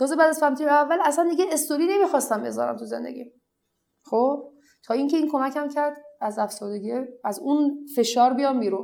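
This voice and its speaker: A woman talks at a very fast pace. Her high-pitched voice has lively intonation. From Iran, family of Iraqi returnees. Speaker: blogger. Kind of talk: interview.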